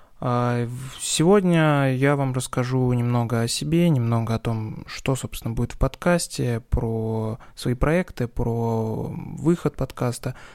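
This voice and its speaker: A man's medium-pitched voice with ordinary pitch variation at a very slow pace with hardly any pauses, on a very clean recording with a silent background. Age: 20s. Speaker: podcast host, tech YouTuber. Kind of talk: solo podcast monologue. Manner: casual, relaxed.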